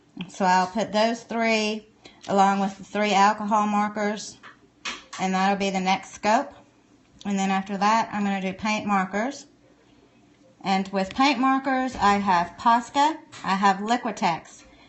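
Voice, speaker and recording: Someone with a Southern US accent talks at a fairly slow pace with fairly even intonation and long, frequent pauses. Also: woman, medium pitch for a woman. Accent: Southern US, country. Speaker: art supply reviewer. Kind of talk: live stream tutorial. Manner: casual, chatty.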